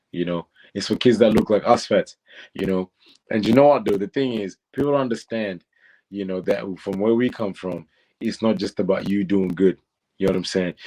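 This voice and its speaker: Recorded very cleanly against a silent background with a dry, close sound and no echo, a man with a fairly low pitch and a dark, mellow tone talks at a fairly quick pace, his pitch varying in an ordinary way. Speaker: reality TV contestant and content creator. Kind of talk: interview. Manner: talkative.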